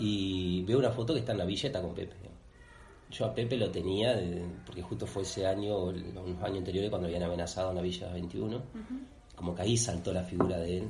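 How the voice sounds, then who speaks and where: A man talks very fast at a very deep, low pitch. Room echo is audible. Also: ordinary pitch variation. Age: 30s. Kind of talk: casual interview. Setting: on location in the parish. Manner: halting, many fillers.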